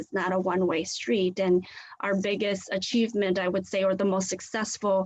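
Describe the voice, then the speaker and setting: Speaking at a fairly quick pace, a woman with a Southeast Asian accent uses a medium pitch. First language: Hmong. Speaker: community leader. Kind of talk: guest presentation in a class.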